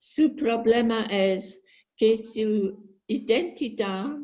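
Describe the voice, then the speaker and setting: Her tone is dark and mellow, somewhat breathy, and pitched fairly high for a woman. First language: English (speaking Spanish). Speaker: book club participant. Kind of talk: book discussion. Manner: simple, careful phrasing.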